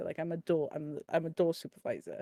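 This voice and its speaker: The speaker talks at a fairly quick pace with a Welsh accent. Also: woman, dry, close sound with no echo. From Wales. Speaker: podcast panelist, nightclub bouncer. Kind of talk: casual chat. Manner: halting, many fillers.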